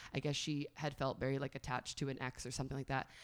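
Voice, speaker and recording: Talking very fast with fairly even intonation, a woman has a very deep, low pitch on a very clean recording with a silent background. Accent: American. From New York, northern Westchester. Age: 30s. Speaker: fitness instructor and tarot reader. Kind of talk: casual interview.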